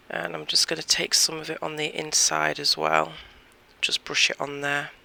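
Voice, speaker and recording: The pace here is moderate. Noticeable background noise comes through. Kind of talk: tutorial. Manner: casual, chatty.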